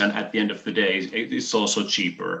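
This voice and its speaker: Noticeable background noise sits behind the recording. A man with a Finnish accent speaks at a fairly quick pace. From Finland. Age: 50s. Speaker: business presenter. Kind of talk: online business presentation. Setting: video call. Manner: hesitant, many fillers.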